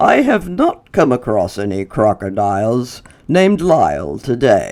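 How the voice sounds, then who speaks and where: A man speaks in a put-on character voice at a moderate pace. His pitch sits in the medium range. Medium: read story. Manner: formal, polite.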